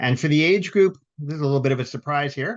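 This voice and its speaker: An unremarkable speaking voice from a man, fairly high in pitch with ordinary pitch variation, at a fairly quick pace against a quiet background. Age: 60s. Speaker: webinar moderator and patient volunteer. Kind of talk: webinar hosting. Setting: virtual webinar.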